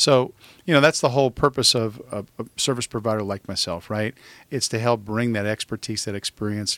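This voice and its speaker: Fairly even intonation at a medium pitch from a man, an unremarkable speaking voice. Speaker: sales consultant. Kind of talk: casual chat.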